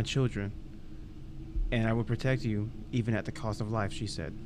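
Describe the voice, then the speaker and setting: This man speaks with an American accent. He talks at a fairly quick pace. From Texas. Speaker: podcast co-host. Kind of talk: reading aloud.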